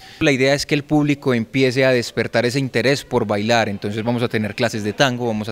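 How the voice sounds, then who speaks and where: The man talks at a moderate pace with fairly even intonation. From Colombia, Medellín. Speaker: dance instructor. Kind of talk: interview statement. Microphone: handheld.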